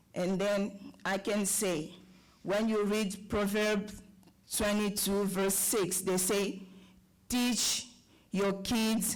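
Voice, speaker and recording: Long, frequent pauses break up the very slow delivery. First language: French. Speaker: parent, public commenter. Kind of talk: public comment at school board meeting. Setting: board meeting with audience.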